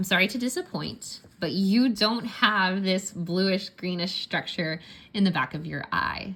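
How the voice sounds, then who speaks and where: This woman has a bright, sharp tone and a medium pitch with ordinary pitch variation. She talks at a fairly slow pace. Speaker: science teacher. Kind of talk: tutorial. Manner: casual, conversational.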